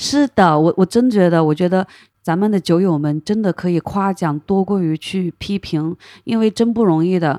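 Recorded very cleanly with a silent background and a dry, close sound with no echo, a woman speaks at a moderate pace in a dark, mellow, medium-pitched voice with ordinary pitch variation. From Hunan, China. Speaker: craft brewery co-owner. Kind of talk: casual interview chat.

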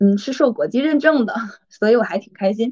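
A woman's somewhat breathy voice sits at a fairly high pitch and carries lively intonation. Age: 30s. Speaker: MBTI assessor, personal growth coach. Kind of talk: casual interview chat.

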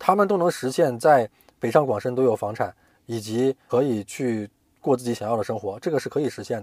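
This man has a plain, everyday voice at a medium pitch, talking at a fairly quick pace in a very clean recording with a silent background and a dry, close sound with no echo. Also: lively intonation. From Hainan, China. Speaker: corporate finance professional. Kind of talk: interview.

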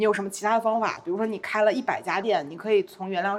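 At a very fast pace, a woman speaks at a medium pitch with ordinary pitch variation. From Beijing. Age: 30s. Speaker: content creator. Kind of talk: casual interview.

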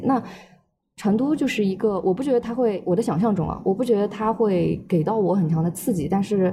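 A woman speaks at a fairly quick pace with ordinary pitch variation. Her voice is somewhat breathy, with a dark, mellow tone. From Shanghai. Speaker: language graduate. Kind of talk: casual chat.

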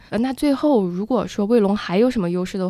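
The recording is very clean with a silent background as a woman speaks in a medium pitch with a dark, mellow tone. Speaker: podcast co-host. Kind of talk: casual business news chat.

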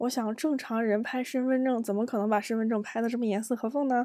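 A woman speaks with a dark, mellow tone, a fairly high pitch and fairly even intonation. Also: very clean recording, silent background. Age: 30s. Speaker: solo podcast host. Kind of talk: personal storytelling monologue. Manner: hesitant, many fillers.

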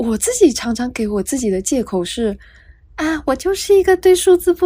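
A woman's high-pitched voice with a dark, mellow tone, very wide pitch swings and a moderate pace. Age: 20s. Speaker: podcast host, freelance writer. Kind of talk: solo podcast monologue, casual. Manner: soft-spoken, quiet; clear careful enunciation.

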